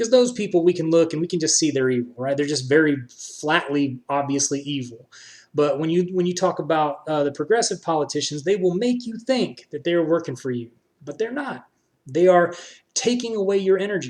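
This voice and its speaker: Loud and high-pitched, a man with an American accent speaks with lively intonation. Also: fairly quick pace. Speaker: political streamer. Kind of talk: live stream commentary. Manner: passionate.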